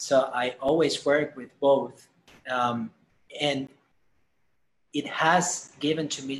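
Speaking at a very slow pace with a Spanish accent, a man keeps a fairly even intonation at a fairly high pitch. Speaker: musician and band leader. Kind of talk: casual interview.

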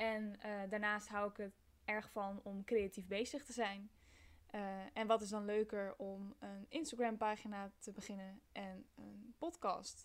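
A woman talks very slowly in a medium-pitched voice. Her intonation is fairly even, though her loudness swings widely. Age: 20s. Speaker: podcast host, university student. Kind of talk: podcast trailer monologue. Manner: hesitant, many filler sounds.

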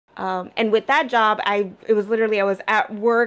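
Speaking at a moderate pace, a woman with a fairly high pitch uses a normal speaking voice, on a very clean recording with a silent background. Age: 30s. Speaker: podcast co-host. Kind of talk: casual chat.

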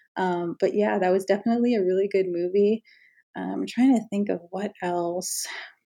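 At a moderate pace, a woman talks in a normal speaking voice with medium pitch and fairly even intonation. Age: 30s. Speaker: podcast host. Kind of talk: solo podcast monologue.

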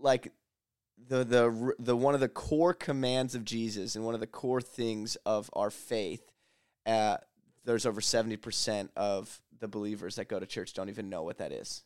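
A plain, everyday voice, a man with an American accent speaks at a medium pitch and moderate pace with ordinary pitch variation, in a very clean recording with a silent background and a dry, close sound with no echo. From Lancaster County, Pennsylvania, US. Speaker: ministry leader. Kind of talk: casual chat.

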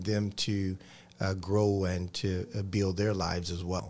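Heard in a very clean recording with a silent background, a man with a dark, mellow tone speaks at a moderate pace. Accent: Georgia. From US South, Columbus, Georgia. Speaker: pastor. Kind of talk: interview on TV faith show.

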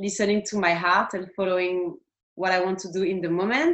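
Speaking in a French accent, a woman uses a medium pitch. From France. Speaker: tattoo artist. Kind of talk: interview.

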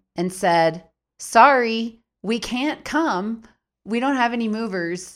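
In a very clean recording with a silent background, a speaker with an American accent talks at a very slow pace with lively intonation. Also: woman, fairly high pitch for a woman. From US Midwest, Minneapolis. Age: 40s. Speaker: podcast co-host, writer, astrologer. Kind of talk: casual chat; reading aloud.

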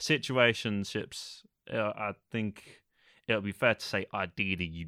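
A man with a London accent, bright and sharp in tone, dry and close with no echo, on a very clean recording with a silent background. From England, East London. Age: 20s. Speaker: podcast co-host. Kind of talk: casual chat. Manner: hesitant.

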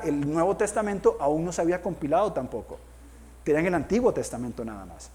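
Speaking at a fairly quick pace, a man uses a high pitch and lively intonation, his loudness swinging widely. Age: 40s. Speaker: pastor. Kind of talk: sermon.

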